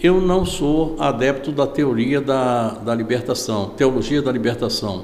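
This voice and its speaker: A man talks at a fairly slow pace. There is audible room echo and noticeable background noise. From Salvador, Bahia, Brazil. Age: 70s. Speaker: veteran journalist and interviewer. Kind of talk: interview.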